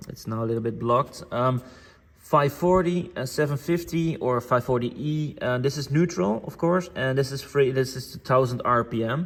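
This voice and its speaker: In a very clean recording with a silent background, a man speaks in a somewhat breathy voice with ordinary pitch variation. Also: medium pitch for a man, moderate pace. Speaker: tractor parts dealer demonstrating tractors. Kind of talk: product walkthrough tutorial. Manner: hesitant, many fillers.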